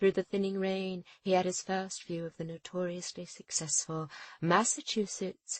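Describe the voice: Fairly even intonation in plain reading aloud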